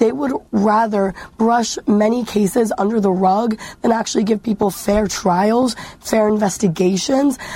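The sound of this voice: With few pauses, a woman speaks at a fairly slow pace in a dark, mellow tone, her medium pitch showing ordinary variation.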